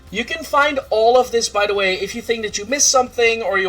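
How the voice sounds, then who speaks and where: Against noticeable background noise, a man with a Dutch accent talks at a very fast pace in an animated tone with lively intonation. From Netherlands. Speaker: streamer. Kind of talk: casual chat. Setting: livestream.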